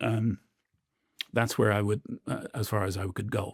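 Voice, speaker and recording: In a very clean recording with a silent background and a dry, close sound without echo, a man talks at a moderate pace and a fairly low pitch. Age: 50s. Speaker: professor of war studies. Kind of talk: interview. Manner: halting, many fillers and repetitions.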